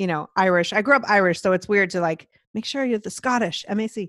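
An ordinary speaking voice, a woman at a fairly quick pace with ordinary pitch variation, in a dry, close sound with no echo. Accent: American. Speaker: broadcast professional and podcast host. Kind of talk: casual interview chat. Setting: video call.

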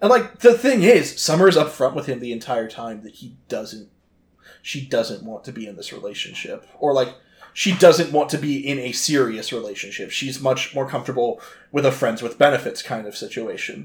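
A man's somewhat breathy, fairly high voice with lively intonation at a moderate pace. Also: big swings in loudness. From United States (moved around). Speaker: podcast co-host, movie reviewer. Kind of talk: casual chat. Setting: studio with mics, drinking beer.

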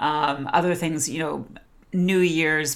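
With a Canadian accent, a woman speaks at a very deep, low pitch. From British Columbia, Canada. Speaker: podcast co-host. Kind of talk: casual chat.

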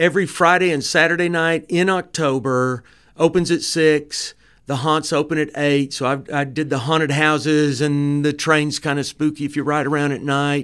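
A man with a Southern US accent and fairly high pitch, at a moderate pace, on a very clean recording with a silent background. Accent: Southern American. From US South, Dalton, Georgia. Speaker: film director and producer. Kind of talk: casual interview chat. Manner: animated.

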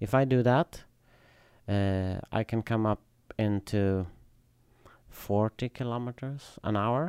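A man with a Swedish accent at a medium pitch with ordinary variation, very slow with long, frequent pauses, in dry, close sound with no echo on a very clean recording with a silent background. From southern Sweden. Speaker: high wheel bicycle racer. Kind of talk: casual chat. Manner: halting.

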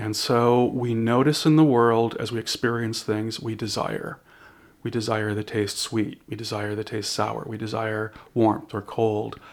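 A man with an ordinary speaking voice, medium in pitch, at a fairly slow pace. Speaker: shaman and spiritual counselor. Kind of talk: casual interview conversation. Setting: quiet room, in person.

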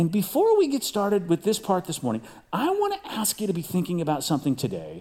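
Fairly quick and high-pitched, a man's voice has a dark, mellow tone and very wide pitch swings. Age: 50s. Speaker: pastor. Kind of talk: sermon.

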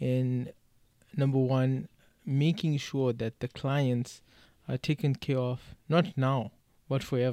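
Very slowly and with long, frequent pauses, a man speaks in a dark, mellow tone with fairly even intonation, the sound dry and close with no echo on a very clean recording with a silent background. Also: medium pitch for a man. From South Africa. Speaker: podcast co-host. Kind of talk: casual chat.

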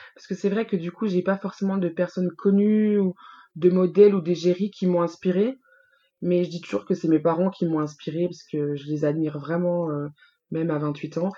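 A woman with a fairly low pitch and a dark, mellow tone, at a moderate pace with fairly even intonation and big swings in loudness, over a quiet background. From Franche-Comté, France. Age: 20s. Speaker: beauty pageant committee president. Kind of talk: casual interview.

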